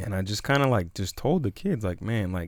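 With a plain, everyday voice, a man speaks at a moderate pace, fairly low in pitch and with lively intonation. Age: 20s. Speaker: youth minister and podcast co-host. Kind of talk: casual chat.

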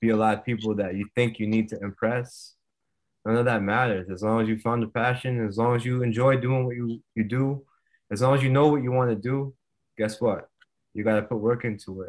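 Speaking in a normal speaking voice with an American accent, a man keeps a medium pitch, fairly even intonation and a fairly quick pace on a very clean recording with a silent background. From Rhode Island, US. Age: 30s. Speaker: retired MMA fighter. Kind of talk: interview.

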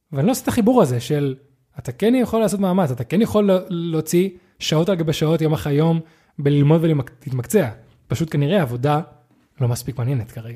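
A man's fairly high, dark and mellow voice, very fast yet broken by long, frequent pauses, with very wide pitch swings. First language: not Hebrew (speaking Hebrew). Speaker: podcast co-host. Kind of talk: casual chat.

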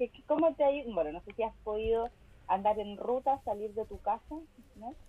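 With a Chilean accent, a woman speaks at a moderate pace in a fairly high pitch. Her intonation is lively. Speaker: podcast co-host. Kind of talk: casual chat.

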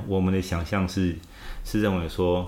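A man speaks with a fairly low pitch. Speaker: former political party spokesperson. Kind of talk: interview. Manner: halting.

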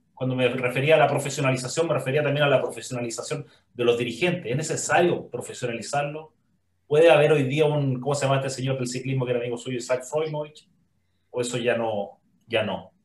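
A somewhat breathy voice at a very fast pace with fairly even intonation. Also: man, medium pitch for a man. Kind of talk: interview conversation.

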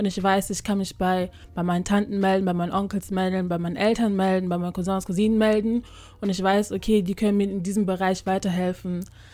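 A woman's dark, mellow voice at medium pitch, very fast, with monotone, flat intonation. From Germany. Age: 20s. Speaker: podcaster. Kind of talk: casual chat.

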